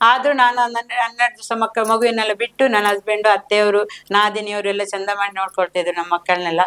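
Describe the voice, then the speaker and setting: A woman speaks at medium pitch. The sound is dry and close, with no echo. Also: fairly even intonation. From India, Karnataka, Shivamogga district (Hosanagar). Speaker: home food business owner, self-help group member. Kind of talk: interview. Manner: halting.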